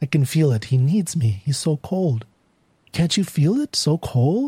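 A man puts on a character voice, fairly high-pitched with a husky, rough edge and a dark, mellow tone. He speaks at a fairly slow pace with big pitch swings, and the sound is dry and close with no echo.

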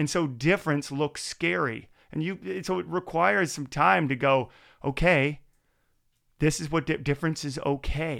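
In a very clean recording with a silent background, a man talks at a moderate pace. His fairly high voice has vocal fry and lively intonation. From Maritimes, Canada. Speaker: podcast host. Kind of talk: casual interview chat. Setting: studio.

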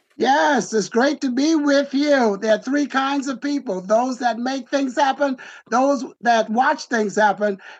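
This man's pitch is extremely high, with ordinary variation. He speaks at a fairly slow pace.

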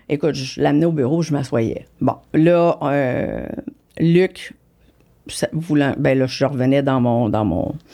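With a Quebec accent, a woman speaks at a very slow pace with long, frequent pauses, in a very deep, low voice with a dark, mellow tone. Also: ordinary pitch variation, very even loudness. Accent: Québécois French. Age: 50s. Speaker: business executive. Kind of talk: interview. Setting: studio.

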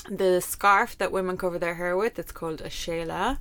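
A woman with an Irish accent speaks at a moderate pace in a bright, sharp tone, on a very clean recording with a silent background. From Ireland. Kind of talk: casual chat.

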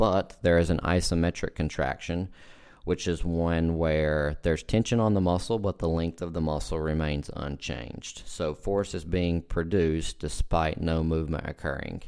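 A man's very deep, low voice with an American accent, moderate pace and fairly even intonation, on a very clean recording with a silent background. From southwestern Virginia, near Kentucky/Tennessee border. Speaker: physical therapist and podcast host. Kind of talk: solo podcast monologue. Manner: casual.

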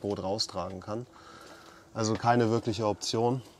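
A man's fairly quick delivery in a monotone, flat intonation. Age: 30s. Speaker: podcast host, electrical engineer. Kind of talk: casual chat. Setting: on a sailboat.

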